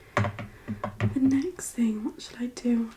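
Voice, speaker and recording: Soft-spoken and gentle in tone, a woman talks over noticeable background noise. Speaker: ASMR creator. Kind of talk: ASMR makeup tutorial, casual talk to camera. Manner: softly spoken, gentle, relaxing.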